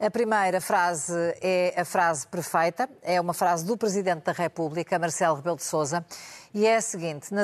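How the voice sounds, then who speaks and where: A plain, everyday voice from a woman, fairly low in pitch, with ordinary pitch variation at a moderate pace. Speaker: radio news podcast host. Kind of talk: moderated news panel discussion.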